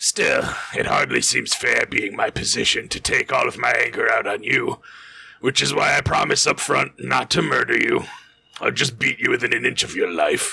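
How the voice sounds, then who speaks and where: A man puts on a raspy character voice. He keeps to a moderate pace. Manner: prissy, menacing, theatrical.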